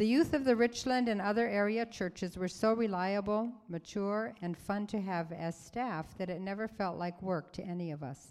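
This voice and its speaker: Ordinary pitch variation and a moderate pace in a woman's normal speaking voice, medium in pitch. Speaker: church member reading letters. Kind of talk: reading aloud. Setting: church stage with audience.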